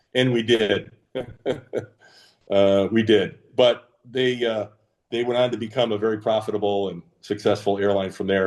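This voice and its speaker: Here is an ordinary speaking voice: a man of fairly low pitch at a moderate pace with fairly even intonation. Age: 60s. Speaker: retired business executive. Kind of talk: casual interview chat. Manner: frequent fillers, um and uh.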